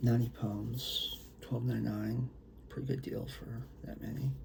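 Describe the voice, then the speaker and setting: Audible room echo and noticeable background noise surround this man as he speaks at a moderate pace. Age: old. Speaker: poet and author. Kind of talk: casual talk to camera before poetry reading. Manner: soft-spoken; hesitant, many fillers.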